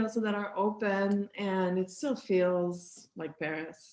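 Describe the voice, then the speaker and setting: With a Quebec French accent, a woman speaks in a dark, mellow tone with ordinary pitch variation. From Quebec City. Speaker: sociology professor. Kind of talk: casual interview.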